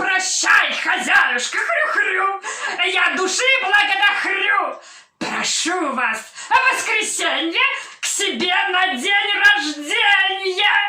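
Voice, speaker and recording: Delivered in a put-on character voice, the speech comes at an extremely high pitch and a very slow pace with a slight echo. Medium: stage play. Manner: effusive, with grunts.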